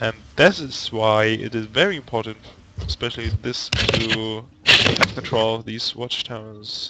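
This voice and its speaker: With noticeable background noise behind him, a man in a German accent speaks at medium pitch with fairly even intonation. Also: fairly slow pace. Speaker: esports commentator. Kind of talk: live commentary.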